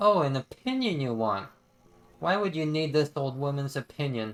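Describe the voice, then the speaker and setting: A man's rumbling, put-on character voice, fairly high in pitch, with lively intonation at a moderate pace. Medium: game stream. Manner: grumbling, condescending.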